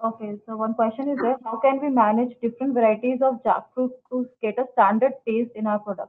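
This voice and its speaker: Fairly high for a woman, her voice runs at a fairly quick pace with hardly any pauses and a monotone, flat intonation. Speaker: webinar moderator. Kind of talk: formal speaker introductions. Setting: video call. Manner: formal. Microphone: video call.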